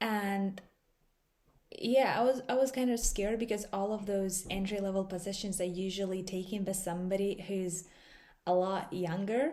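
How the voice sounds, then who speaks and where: A woman speaks at a medium pitch in a dark, mellow tone. Her pace is moderate and her intonation fairly even. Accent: non-native. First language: not English. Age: 20s. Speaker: digital marketer, vlogger. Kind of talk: casual vlog talk.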